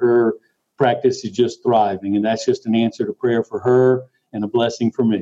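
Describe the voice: Speaking at a moderate pace, a man has a medium pitch, a dark, mellow tone and little pitch movement.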